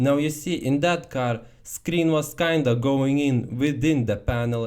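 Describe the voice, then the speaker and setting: A man with an unremarkable speaking voice talks at a fairly slow pace and a fairly high pitch. His loudness stays very even, with ordinary pitch variation. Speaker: car commentary youtuber. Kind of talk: casual talk to camera. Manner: humorous, irreverent.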